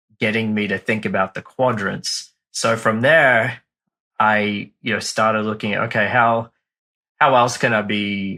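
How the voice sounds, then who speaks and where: A man with an Australian accent speaks fairly slowly at a fairly low pitch, with a bright, sharp tone and fairly even intonation. The recording is very clean, with a silent background. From Australia, Brisbane. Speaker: marketing firm founder, former teacher. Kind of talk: podcast interview.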